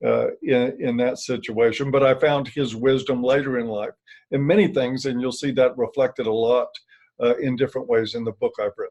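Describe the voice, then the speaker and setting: A man's plain, everyday voice, medium in pitch, with fairly even intonation at a moderate pace. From US, military family, moved around. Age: 60s. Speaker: author and former addiction counselor. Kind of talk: interview.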